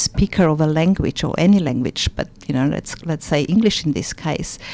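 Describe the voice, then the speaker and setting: A woman with a non-native accent talks at a moderate pace with ordinary pitch variation over noticeable background noise. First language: not English. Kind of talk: radio interview.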